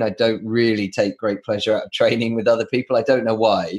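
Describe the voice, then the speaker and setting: Speaking at a fairly quick pace, a man with a southern English accent keeps to a medium pitch. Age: 40s. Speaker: podcast host. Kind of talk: casual interview chat.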